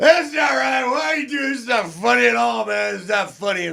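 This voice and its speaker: A man does a put-on character voice, pitched high. He moves at a fairly quick pace. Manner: whiny, protesting.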